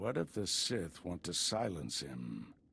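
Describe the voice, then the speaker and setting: In a put-on character voice, a man speaks at a fairly slow pace, very deep and low in pitch and raspy. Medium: video game. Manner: calm, authoritative.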